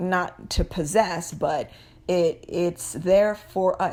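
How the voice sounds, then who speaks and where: This woman has a medium pitch and a dark, mellow tone. She talks at a very slow pace. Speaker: spiritual talk vlogger. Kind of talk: casual spiritual monologue. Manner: halting, many fillers and repeats; unscripted, searching for words.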